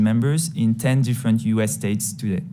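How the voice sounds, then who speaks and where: In a French accent, a man speaks at a moderate pace with fairly even intonation. There is audible room echo. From France. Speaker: tech company CEO. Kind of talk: congressional testimony. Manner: formal.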